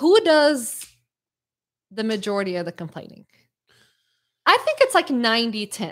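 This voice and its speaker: A woman speaks fairly slowly in a fairly high pitch that swings very widely. Long, frequent pauses fill a very clean recording with a silent background. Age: 30s. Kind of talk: casual chat.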